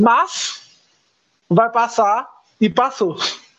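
The speech moves at a very slow pace, and music plays in the background. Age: 20s. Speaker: podcast guest. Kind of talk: casual chat.

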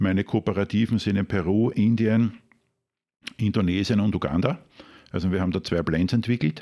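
Speaking in a Lower Austrian accent at a moderate pace, a man keeps a very even loudness and a dark, mellow tone, leaving long, frequent pauses on a very clean recording with a silent background. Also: fairly low pitch for a man, ordinary pitch variation. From Austria, Krems (Wachau, Lower Austria). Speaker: master barista. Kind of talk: interview.

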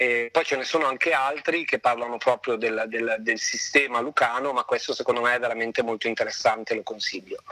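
Talking at a fairly quick pace with hardly any pauses, a man is heard over noticeable background noise. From northern Italy, Lake Maggiore (Novara province). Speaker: opera director, former opera singer. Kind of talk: interview conversation.

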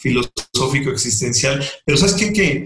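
A man speaks with ordinary pitch variation. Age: 50s. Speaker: ophthalmologist and professor. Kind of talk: interview. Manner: halting, many repetitions and fillers.

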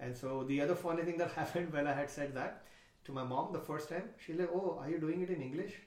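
A man with a fairly high pitch talks very fast, using ordinary pitch variation. There is noticeable noise in the background. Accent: Marathi. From India. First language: Marathi. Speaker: stand-up comedian. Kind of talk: casual chat.

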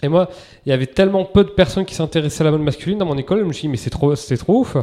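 Speaking at a very fast pace, a man with a fairly high pitch and a dark, mellow tone shows ordinary pitch variation. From Basque Country, France. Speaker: entrepreneur, menswear brand founder. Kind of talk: interview conversation.

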